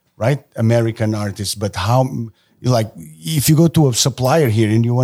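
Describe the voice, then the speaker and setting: A somewhat breathy voice with a dark, mellow tone. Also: man. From Portugal. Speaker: tattoo artist. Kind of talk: casual chat.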